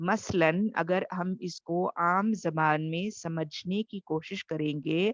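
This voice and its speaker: A woman's fairly low voice with fairly even intonation and hardly any pauses, in a dry, close sound with no echo. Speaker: tajweed teacher. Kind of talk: online lecture. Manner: soft-spoken.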